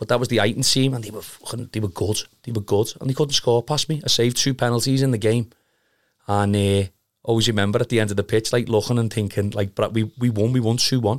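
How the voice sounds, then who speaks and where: Speaking very fast with a Liverpool accent, a man keeps a medium pitch and fairly even intonation. The recording is very clean, with a silent background. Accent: Scouse. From Liverpool (Kirkby), England. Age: 30s. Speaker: amateur football goalkeeper. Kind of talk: casual chat.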